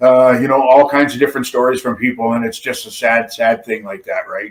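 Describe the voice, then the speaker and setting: Talking at a fairly quick pace, a man with an unremarkable speaking voice keeps a medium pitch and fairly even intonation. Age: 60s. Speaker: former pro wrestler and barber. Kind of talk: casual interview chat.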